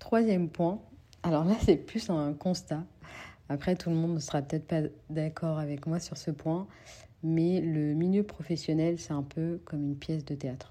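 A woman speaks at a fairly slow pace with a fairly low pitch, a dark, mellow tone and fairly even intonation. The recording is very clean, and the background is silent. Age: 20s. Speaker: podcast host. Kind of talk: solo monologue podcast. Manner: halting.

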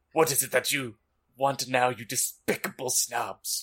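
A man puts on a character voice, pitched in the middle range. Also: moderate pace. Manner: angry; scornful, insulting.

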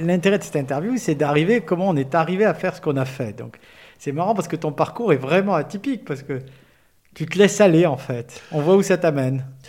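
A man with a fairly high voice and lively intonation speaks at a fairly quick pace. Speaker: podcast host. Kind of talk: interview.

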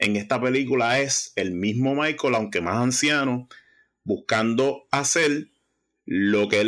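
This very clean recording has a silent background. A man talks in a normal speaking voice, medium in pitch, moderate in pace and with ordinary pitch variation. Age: 40s. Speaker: music podcast contributor. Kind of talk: casual chat.

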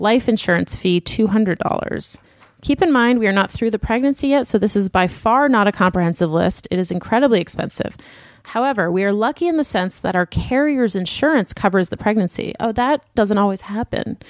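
A normal speaking voice carries lively intonation at very even loudness, recorded dry and close with no echo. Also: woman, medium pitch for a woman. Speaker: podcast co-host. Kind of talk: casual chat.

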